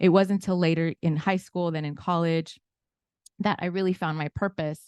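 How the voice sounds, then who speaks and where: A woman speaks with a Spanish accent at a moderate pace, her fairly low pitch held in a monotone, flat intonation. The sound is dry and close with no echo, against a quiet background. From Inglewood, California. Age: 40s. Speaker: financial literacy educator. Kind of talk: webinar presentation.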